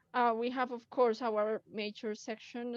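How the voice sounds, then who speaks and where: At a moderate pace, a woman talks with a Colombian accent. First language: Spanish. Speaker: cosplayer and community admin. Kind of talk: live stream group chat. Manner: hesitant, many fillers.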